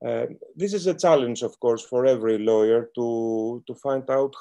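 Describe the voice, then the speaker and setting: A man's dark, mellow voice with a Greek accent, lively intonation and a fairly slow pace, against a quiet background. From Greece. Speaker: lawyer. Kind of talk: panel talk. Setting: video call. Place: home room. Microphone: webcam.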